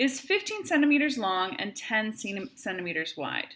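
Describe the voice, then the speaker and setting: Speaking at a moderate pace with a Wisconsin accent, a woman lets her pitch swing very widely. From Wisconsin, US. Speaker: math teacher. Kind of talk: tutorial.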